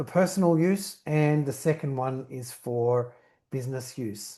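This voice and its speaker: Very slow speech from a man with an Australian accent and ordinary pitch variation sits in a quiet background. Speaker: company founder and CEO. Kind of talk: webinar presentation. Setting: online webinar. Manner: structured, talks in bullet points.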